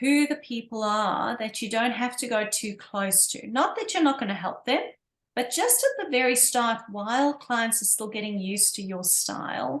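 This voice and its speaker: Woman with a South African accent, fairly high pitch, ordinary pitch variation, and a moderate pace. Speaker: pilates instructor. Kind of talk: casual chat.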